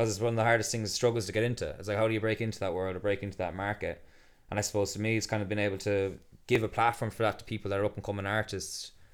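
Spoken very fast in a flat monotone with an Irish accent, this very clean recording has a silent background. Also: man, fairly low pitch for a man. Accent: Irish (Galway). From Ireland, County Galway. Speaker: festival co-founder and builder. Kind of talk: casual interview chat.

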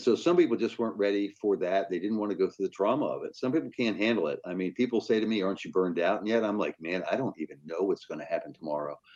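Against noticeable background noise, a man rushes along at a very fast pace with hardly any pauses. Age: 60s. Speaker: newspaper managing editor. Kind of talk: interview.

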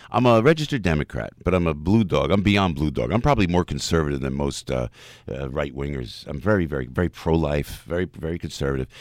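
In a very clean recording with a silent background, a man talks very fast with a very deep, low pitch, vocal fry and lively intonation. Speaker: entertainer and former radio personality. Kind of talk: interview. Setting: studio. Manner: animated.

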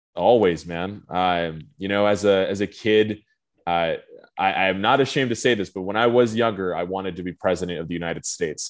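The speaker has a Southwestern US accent and talks at a fairly quick pace. Pitch varies in an ordinary way. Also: man, very deep, low pitch for a man. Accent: general American, Southwest. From Phoenix, Arizona. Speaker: marine conservation policy advocate. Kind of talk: casual interview. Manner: fluent, filler-heavy.

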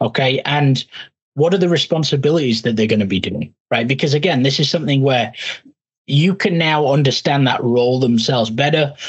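A man with an American accent, fairly high and somewhat breathy, at a fairly quick pace with ordinary pitch variation and very even loudness. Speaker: podcast host. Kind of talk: interview.

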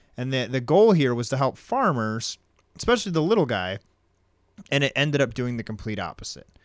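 This man's pitch swings very widely. He keeps up a fairly quick pace. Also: medium pitch for a man. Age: 30s. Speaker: podcast co-host. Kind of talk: casual chat.

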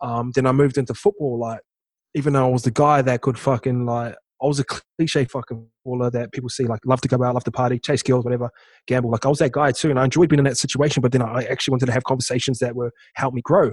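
Speaking very fast with a New Zealand accent, a man with a medium pitch and a somewhat breathy voice keeps his intonation fairly even, recorded dry and close with no echo. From New Zealand, small town. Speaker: former rugby league player and entrepreneur. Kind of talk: casual interview chat.

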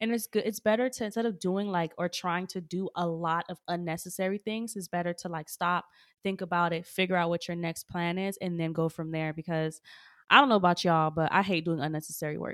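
Dry and close with no echo, a woman's fairly low voice comes across on a very clean recording with a silent background, with an unremarkable speaking voice and fairly even intonation. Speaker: podcast co-host. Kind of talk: casual chat.

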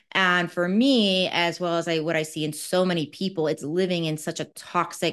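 A woman with a normal speaking voice, a fairly low pitch and ordinary pitch variation, against a quiet background. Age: 40s. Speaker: naturopathic doctor. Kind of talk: interview. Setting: video call.

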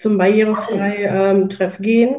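Over noticeable background noise, a woman speaks very slowly at a medium pitch in a monotone, flat intonation. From Rhineland, Germany. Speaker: accessible travel blogger. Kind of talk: casual group talk. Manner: halting, many fillers.

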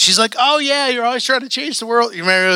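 A man talks in a raised, projected voice with a bright, sharp tone. His delivery is animated, with lively intonation. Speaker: preacher. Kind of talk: sermon. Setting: church. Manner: animated, casual preacher's delivery, joking and fired up; conversational, emotional, peppered with slang and asides.

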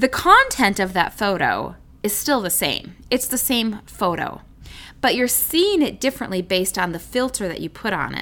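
Bright and sharp in tone with vocal fry, a woman speaks at a moderate pace with lively intonation. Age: 40s. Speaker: Bible teacher podcast host. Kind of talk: Bible teaching monologue. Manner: animated.

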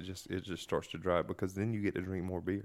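In a Southern US accent, a man speaks with a very deep, low pitch and fairly even intonation. The recording is very clean, with a silent background. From North Carolina. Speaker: podcast host. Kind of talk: casual drinking chat.

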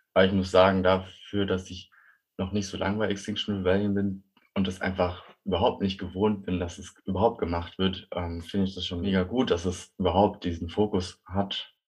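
A man's very deep, low voice in a flat monotone. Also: moderate pace. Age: 20s. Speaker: climate activist and bike courier. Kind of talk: interview.

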